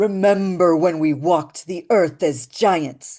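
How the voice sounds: A raspy put-on character voice at a middle pitch moves at a fairly slow pace over a quiet background.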